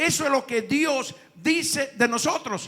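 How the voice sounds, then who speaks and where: A man's extremely high pitch, with ordinary pitch variation. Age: 70s. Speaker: pastor. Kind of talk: sermon.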